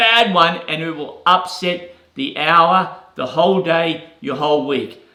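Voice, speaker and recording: Noticeable background noise sits behind a man speaking in a high voice. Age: 60s. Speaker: real estate agent and business coach. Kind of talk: motivational talk. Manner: casual, repeats words.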